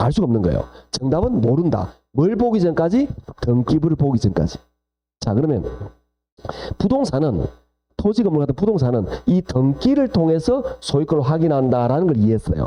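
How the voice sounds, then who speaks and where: With a Gyeongsang accent, a man speaks in an animated tone at a fairly high pitch, his pitch swinging very widely while his loudness stays very even, broken by long, frequent pauses. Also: moderate pace. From South Gyeongsang, Korea (Jinju). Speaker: lecturer. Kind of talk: lecture.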